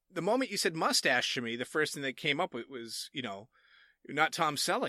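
An animated man's voice, fairly high and bright and sharp in tone, with very wide pitch swings, in a very clean recording with a silent background and a dry, close sound with no echo. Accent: Massachusetts. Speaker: game show judge. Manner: animated, jokey.

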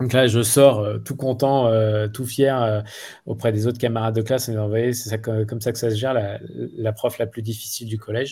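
A man's medium-pitched voice, dark, mellow and somewhat breathy, comes at a moderate pace with monotone, flat intonation. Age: 40s. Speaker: school director, former entrepreneur. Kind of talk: interview. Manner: halting.

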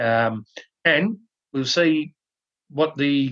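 A man speaks with an Australian accent at a fairly high pitch. The sound is dry and close, with no echo. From Australia, NSW South Coast. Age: 40s. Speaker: podcast host, rugby league commentator. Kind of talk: casual chat.

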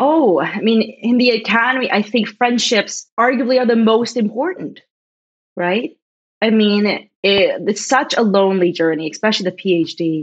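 Speaking at a moderate pace in a Canadian accent, a woman uses a normal speaking voice, fairly high in pitch, with lively intonation and very even loudness. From Ontario, Canada (small town outside Toronto). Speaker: professor. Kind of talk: casual chat.

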